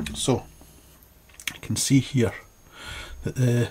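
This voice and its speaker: Amid noticeable background noise, a man speaks slowly-ish at a fairly slow pace in a fairly low pitch. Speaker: ecologist and wildlife educator. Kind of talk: informal educational talk. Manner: hesitant, many fillers.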